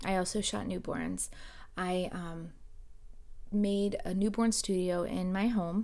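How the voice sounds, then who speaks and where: In an American accent, a woman speaks at a medium pitch and a very slow pace, with long, frequent pauses and monotone, flat intonation. Her tone is dark and mellow, and audible room echo surrounds her. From South Florida. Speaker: podcast host, photographer. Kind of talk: casual monologue.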